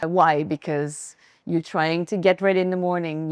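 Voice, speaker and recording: At a moderate pace, a woman with a French accent talks in a fairly low pitch and fairly even intonation. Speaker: fashion brand founder. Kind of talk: styling presentation to a live audience. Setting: pop-up store event with audience. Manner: casual, conversational.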